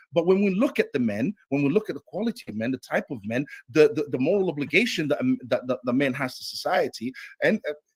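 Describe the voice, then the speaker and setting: Talking at a very fast pace, a man with a fairly high pitch sounds somewhat breathy, his voice making very wide pitch swings in a dry, close sound with no echo. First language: not English. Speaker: debater. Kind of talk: heated debate. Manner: halting.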